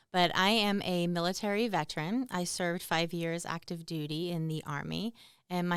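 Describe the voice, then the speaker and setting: This voice has a Boston accent and fairly even intonation. The recording is very clean, with a silent background. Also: woman. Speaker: army veteran and military spouse. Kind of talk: podcast interview.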